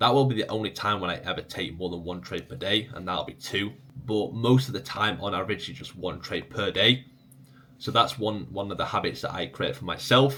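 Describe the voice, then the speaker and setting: A man with an English accent talks at a fairly quick pace in a fairly low voice, his intonation lively. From England. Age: 20s. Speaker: trading educator. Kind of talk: casual Q&A video. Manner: casual, conversational.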